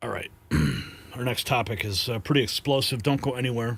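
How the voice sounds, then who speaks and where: A man puts on a raspy character voice at medium pitch. He moves along at a fairly quick pace. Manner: monotone.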